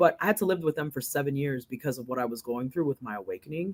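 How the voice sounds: A woman's extremely low-pitched voice with a slightly husky edge, lively intonation and a fast pace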